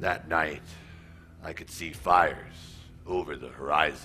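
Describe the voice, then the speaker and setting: The man's pitch is very deep and low, with fairly even intonation. He talks at a moderate pace against clear background noise. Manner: bitter, suspicious.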